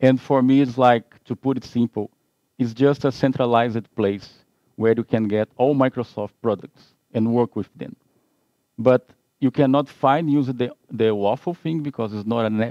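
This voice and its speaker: In a Portuguese accent, a man speaks at a medium pitch and a moderate pace with fairly even intonation. His tone is dark and mellow, and the sound is dry and close with no echo. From Brazil. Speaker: IT consultant. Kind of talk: webinar presentation.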